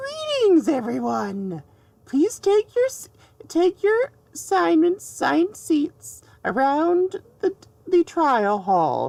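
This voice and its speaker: The voice is a put-on character voice. Its pace is fairly slow. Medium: machinima. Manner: theatrical, announcer-like.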